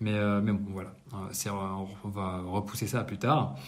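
Amid audible room echo, a man speaks with a fairly low, somewhat breathy voice. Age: 30s. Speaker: entrepreneur vlogger. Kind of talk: monthly business debrief monologue. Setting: apartment under renovation. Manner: casual, hesitant with many fillers. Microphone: no usual microphone, poorer sound.

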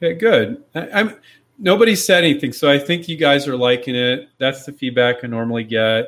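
Lively intonation from a man with a fairly high pitch. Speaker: inventor and licensing coach. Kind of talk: live Q&A stream. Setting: online live stream. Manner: fast talker; casual, direct, emphatic.

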